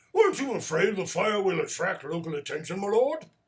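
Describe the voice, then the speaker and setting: Putting on a character voice, a man speaks high and fairly quickly with lively intonation. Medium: read story. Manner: timid, deferential.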